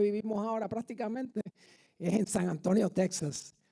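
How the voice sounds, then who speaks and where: A man's high pitch in a Puerto Rican accent, dark and mellow in tone, with ordinary pitch variation. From Puerto Rico. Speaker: guest preacher and army veteran. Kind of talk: sermon. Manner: hesitant, many fillers.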